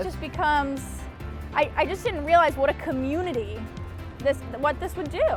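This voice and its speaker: Over music in the background, a woman with a high pitch sounds excited and upbeat, moving at a fairly quick pace with long, frequent pauses and ordinary pitch variation. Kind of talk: interview answer. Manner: excited, upbeat.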